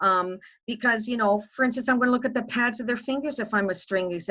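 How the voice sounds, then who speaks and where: At a very fast pace, a woman speaks with ordinary pitch variation. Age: 60s. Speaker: music educator. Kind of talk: panel discussion.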